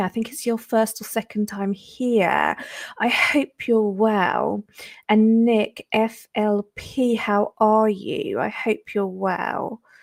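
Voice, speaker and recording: A woman with a British accent, medium pitch, fairly even intonation and a fairly slow pace, in a dry, close sound with no echo. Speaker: crypto livestreamer. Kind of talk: livestream chat. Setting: livestream. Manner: casual, many filler ums.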